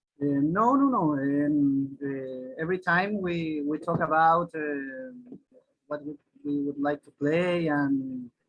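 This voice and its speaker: A man with a Spanish accent, very slow pace, fairly high pitch and ordinary pitch variation. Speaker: singer and flautist. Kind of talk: interview. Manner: halting, many repetitions.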